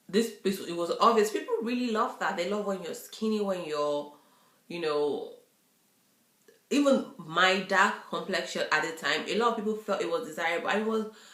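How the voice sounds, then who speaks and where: A woman talks at a moderate pace with a medium pitch and ordinary pitch variation. Audible room echo surrounds her voice. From Nigeria. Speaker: YouTuber. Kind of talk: casual vlog chat. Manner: halting, with many fillers.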